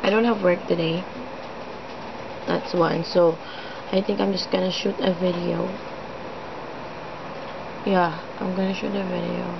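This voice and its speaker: Moderate-paced speech from a woman, broken by long, frequent pauses, amid noticeable background noise. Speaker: vlogger. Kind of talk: casual vlog chat. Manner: slow, weak, listless sick voice.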